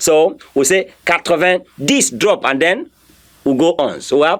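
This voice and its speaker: A man's high-pitched voice at a fairly slow pace. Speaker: French teacher. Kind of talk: lecture.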